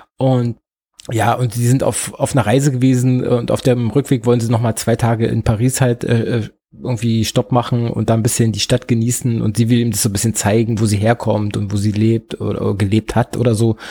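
A man talks at a fairly quick pace in a medium pitch, somewhat breathy, with a dark, mellow tone. His intonation is monotone and flat, and the sound is dry and close with no echo. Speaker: podcast host. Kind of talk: solo film review. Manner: hesitant, filler-heavy.

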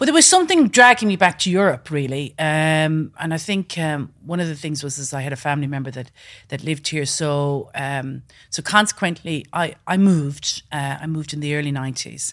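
In a western Irish accent, a woman talks at a fairly quick pace with a very deep, low pitch. The recording is very clean, with a silent background. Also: ordinary pitch variation. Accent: Irish, west of Ireland. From west coast of Ireland. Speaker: business founder. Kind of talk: interview. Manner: hesitant, many fillers.

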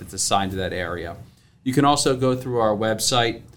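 A man with an ordinary speaking voice talks at a fairly quick pace with fairly even intonation. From Maryland Eastern Shore (Salisbury). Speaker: financial advisor. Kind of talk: interview.

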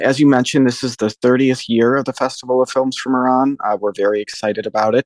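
A man with a normal speaking voice talks at a fairly quick pace and medium pitch, with fairly even intonation and a dry, close sound free of echo. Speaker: arts director, festival programmer. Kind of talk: interview.

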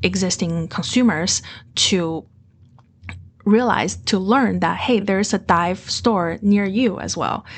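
A woman speaks with a Mandarin accent at a medium pitch. Her voice is somewhat breathy, with ordinary pitch variation. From Beijing, China. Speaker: MBA student, former dive instructor and finance manager. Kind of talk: casual interview.

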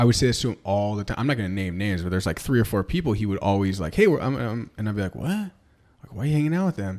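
A man with an American accent at a fairly low pitch, very fast and with hardly any pauses, lively intonation, on a very clean recording with a silent background. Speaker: podcast co-host, real estate agent. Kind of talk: casual chat.

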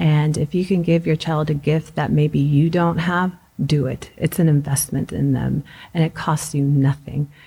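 A woman speaks at a very deep, low pitch in a dark, mellow tone that is somewhat breathy. Her intonation is monotone and flat, at a moderate pace. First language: Spanish. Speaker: school principal. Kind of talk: interview.

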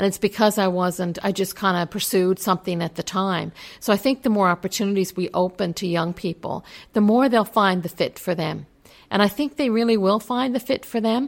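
A woman with an unremarkable speaking voice talks at a fairly quick pace and medium pitch, with ordinary pitch variation. The recording is very clean, with a silent background. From Newfoundland, Canada. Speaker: college president. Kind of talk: interview. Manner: frequent filler words.

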